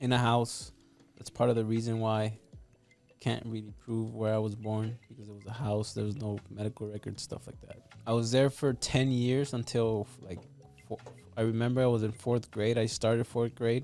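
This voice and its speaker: A man with a Spanish accent speaks at a moderate pace in a medium pitch with a dark, mellow tone. His intonation is monotone and flat, while his loudness swings widely. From Mexico. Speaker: realtor and real estate investor. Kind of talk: casual podcast interview.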